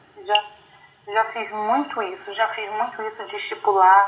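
A woman's fairly high-pitched voice keeps a moderate pace amid noticeable background noise. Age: 30s. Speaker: author. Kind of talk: interview. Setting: video call.

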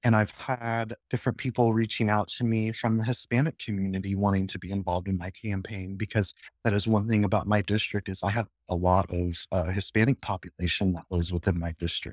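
Hardly pausing, a man with a normal speaking voice and an American accent talks at a fairly low pitch with fairly even intonation, recorded very clean with a silent background and a dry, close sound with no echo. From Nebraska (Lincoln). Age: 30s. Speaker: political candidate. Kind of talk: interview.

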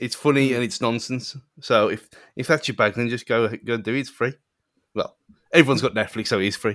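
Speaking fairly quickly with fairly even intonation, a man is heard in a dry, close sound with no echo. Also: medium pitch for a man. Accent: British. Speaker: podcast co-host.

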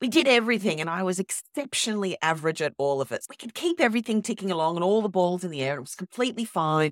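On a very clean recording with a silent background and a dry, close sound with no echo, a woman with an Australian accent speaks very fast in a fairly low voice with lively intonation. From Sydney. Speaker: copywriting founder and guest mentor. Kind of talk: casual interview chat.

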